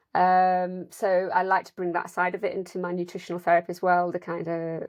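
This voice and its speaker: A woman speaks with an English accent and a fairly low pitch. Her intonation is monotone and flat. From northern England, South Yorkshire. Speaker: nutritional therapist. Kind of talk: interview.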